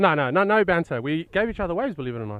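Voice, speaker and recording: A man's fairly high-pitched voice with lively intonation. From South Africa, then UK and Australia. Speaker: kneeboard surfer. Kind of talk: post-heat interview.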